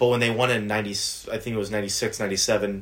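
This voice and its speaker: With an American accent, a man speaks in a fairly low voice at a fairly slow pace. His intonation is monotone and flat. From US South. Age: 20s. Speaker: podcast co-host. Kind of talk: casual chat.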